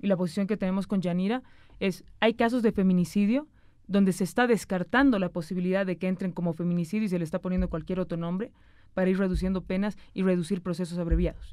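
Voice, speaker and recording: Speaking at a very fast pace, a woman with a dark, mellow tone keeps her intonation fairly even, the sound dry with no echo over a quiet background. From Bolivia, Cochabamba; Bolivia. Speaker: senator. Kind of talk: political interview. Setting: studio. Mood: serious, explanatory. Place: studio. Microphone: studio mic.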